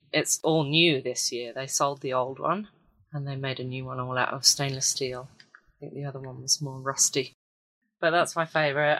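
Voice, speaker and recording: Speaking with a British accent, a woman uses a very deep, low pitch. Her intonation is fairly even and her pace moderate. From Britain. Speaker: ceramic artist and volunteer. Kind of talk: casual interview.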